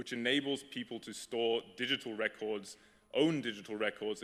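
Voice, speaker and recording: A man with a fairly low-pitched, plain, everyday voice, fairly even intonation and a fairly quick pace. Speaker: startup founder. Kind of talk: conference talk.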